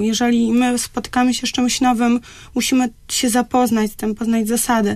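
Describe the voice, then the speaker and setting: Over a quiet background, the voice keeps a moderate pace with monotone, flat intonation. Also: woman. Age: young. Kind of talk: radio interview. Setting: radio studio. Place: studio.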